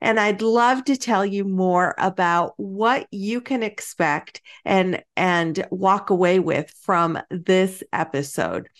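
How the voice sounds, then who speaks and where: Over a quiet background, a woman talks at a very slow pace. Her medium-pitched voice has lively intonation. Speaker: podcast host. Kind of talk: interview.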